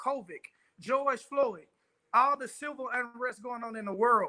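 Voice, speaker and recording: An extremely high-pitched man's voice, raised and projected, bright and sharp in tone, animated, with ordinary pitch variation. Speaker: pastor and motivational speaker. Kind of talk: motivational talk. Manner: fast.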